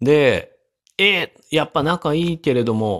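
Recorded very cleanly against a silent background, a man's voice sounds dry and close, with no echo. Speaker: podcaster and medical researcher. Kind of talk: solo casual talk.

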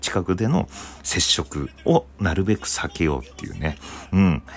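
His pitch is very deep and low, with vocal fry running through it. The man keeps a moderate pace and lively intonation. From Hokkaido, Japan. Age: 30s. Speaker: comedian and radio host. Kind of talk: casual solo radio talk.

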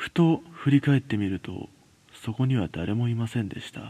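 A man speaks at a moderate pace in a medium pitch, his dark, mellow tone carrying a slightly husky edge and ordinary pitch variation.

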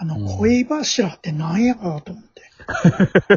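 A man with a Kansai accent. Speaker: DJ guest. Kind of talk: casual chat.

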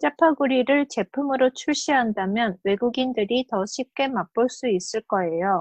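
With a Korean accent and a high pitch, a woman talks at a fairly slow pace with lively intonation and hardly any pauses. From South Korea. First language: Korean (speaking Japanese). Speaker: podcast co-host. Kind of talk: reading aloud. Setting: video call.

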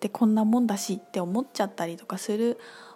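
Somewhat breathy, a woman's dark, mellow voice sits at a fairly high pitch with ordinary pitch variation. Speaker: podcast host and spiritual teacher. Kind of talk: casual solo talk. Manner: fast when absorbed.

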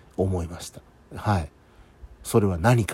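A man speaks in a dark, mellow tone. His voice carries vocal fry. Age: 40s. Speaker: podcaster. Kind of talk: solo monologue. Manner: casual.

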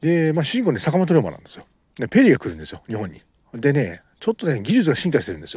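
At a very fast pace, a man with vocal fry and a fairly high pitch speaks with very wide pitch swings and big swings in loudness. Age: 30s. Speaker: amateur podcaster and novelist. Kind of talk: casual monologue. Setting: outdoors at a beach. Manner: halting, many fillers.

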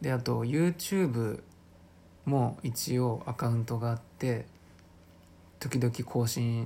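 With a somewhat breathy quality, the man talks at a medium pitch. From Chiba, Japan. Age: 20s. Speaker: podcaster and aspiring actor. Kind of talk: casual solo talk. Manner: hesitant, many fillers.

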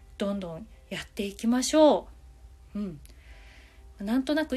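Relaxed and somewhat breathy, a woman speaks with a dark, mellow tone at a fairly high pitch, her voice swinging very widely. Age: 40s. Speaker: manga artist and podcaster. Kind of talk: solo talk.

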